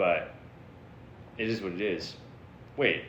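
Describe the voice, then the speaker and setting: An animated man with an American accent, with audible room echo. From Florida. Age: 30s. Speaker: livestreamer. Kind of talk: casual chat. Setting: livestream.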